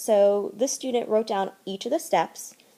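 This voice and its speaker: Her voice is fairly high in pitch, with a dark, mellow tone, as a woman speaks. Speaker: high school chemistry teacher. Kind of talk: instructional video for students. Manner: fast.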